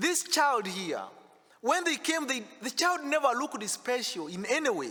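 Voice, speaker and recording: With lively intonation, a man projects a raised voice at an extremely high pitch. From Africa. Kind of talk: sermon. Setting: church. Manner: loud.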